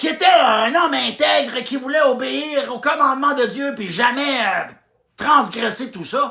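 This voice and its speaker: The speaker talks at a fairly slow pace in a Quebec accent. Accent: rural Quebec French. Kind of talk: humorous retelling of a Bible story to camera. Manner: casual, joking.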